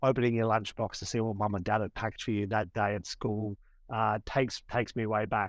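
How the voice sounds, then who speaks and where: Speaking in an Australian accent at a fairly quick pace, a man delivers his lines in a flat monotone at a fairly low pitch, in a very clean recording with a silent background. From Australia, Sydney. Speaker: tour operator, former lawyer. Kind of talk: podcast interview.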